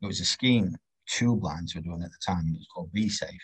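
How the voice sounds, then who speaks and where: In a Yorkshire accent, a man speaks fairly quickly in a somewhat breathy voice at a fairly low pitch with ordinary variation. The sound is dry and close, with no echo. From northern England, Doncaster. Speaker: railway health and safety practitioner. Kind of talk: casual interview.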